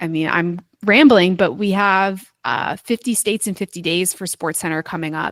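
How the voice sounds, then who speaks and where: In an American accent, a woman uses an ordinary speaking voice at a moderate pace with ordinary pitch variation, recorded very cleanly against a silent background with a dry, close sound and no echo. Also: medium pitch for a woman. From US Northeast, New York (Westchester). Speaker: sports public relations staffer. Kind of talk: interview.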